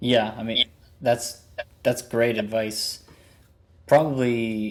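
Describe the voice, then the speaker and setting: The man has a medium pitch and an American accent. He speaks at a fairly slow pace. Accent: students say he has an. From northern US. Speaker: podcast host, music teacher. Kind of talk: podcast interview.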